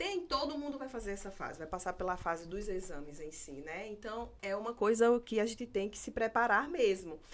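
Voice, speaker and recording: A woman with a Pernambuco accent and medium pitch talks at a moderate pace with hardly any pauses. Her intonation is lively, and her loudness swings widely. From Pernambuco, Brazil. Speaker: military exam coach and podcast host. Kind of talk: live interview chat.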